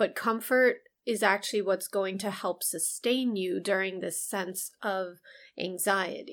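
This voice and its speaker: A normal speaking voice from a woman with an American accent, medium pitch, fairly even intonation and a fairly slow pace, in a very clean recording with a silent background. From US, Chinese American family. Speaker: psychologist podcast co-host. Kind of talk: casual chat.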